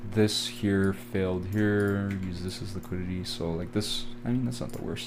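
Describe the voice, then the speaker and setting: This man has a Canadian accent and a fairly low pitch, speaking at a moderate pace with ordinary pitch variation. Audible room echo surrounds his voice. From Canada. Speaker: forex trading educator. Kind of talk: live trading tutorial. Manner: casual, filler-heavy.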